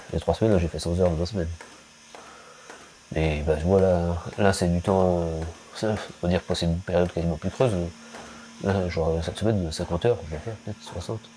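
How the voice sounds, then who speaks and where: This man has a very deep, low pitch and fairly even intonation, talking at a very fast pace broken by long, frequent pauses. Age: 40s. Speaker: dairy farmer. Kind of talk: documentary interview. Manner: hesitant, many fillers.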